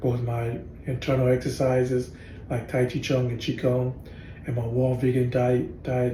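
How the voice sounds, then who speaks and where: Speaking at a moderate pace, a man uses monotone, flat intonation at a medium pitch. His dark, mellow voice is somewhat breathy, with audible room echo. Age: 60s. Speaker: tai chi and qigong practitioner. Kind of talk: casual storytelling monologue. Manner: halting, many fillers and restarts.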